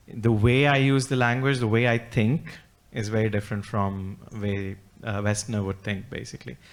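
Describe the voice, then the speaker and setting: Speaking at a moderate pace, a man with a non-native accent keeps his fairly low voice fairly even in intonation. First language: not English. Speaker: animal rights activist. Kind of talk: panel discussion.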